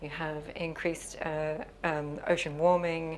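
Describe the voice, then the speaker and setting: Her Australian accent carries a very deep, low pitch as the woman speaks very slowly with monotone, flat intonation. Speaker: sustainability facilitator. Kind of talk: interview. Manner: hesitant with fillers.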